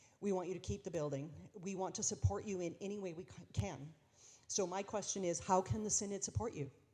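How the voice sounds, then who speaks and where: A woman with a Canadian accent talks at a very fast pace in a medium pitch, using ordinary pitch variation, a dark, mellow tone and vocal fry. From Saskatchewan, Canada. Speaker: bishop. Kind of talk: Q&A session with congregations. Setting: church dinner event with audience. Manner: animated.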